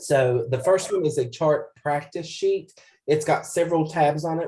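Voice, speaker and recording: A man talks in a dark, mellow tone that comes across somewhat breathy. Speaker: computer skills instructor. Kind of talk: tutorial. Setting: video call. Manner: casual, with frequent fillers.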